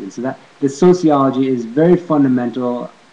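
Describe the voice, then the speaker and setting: A man with an American accent at a moderate pace, with ordinary pitch variation and noticeable background noise. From California, USA. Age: 40s. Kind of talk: casual talk to camera. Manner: hesitant, rambling.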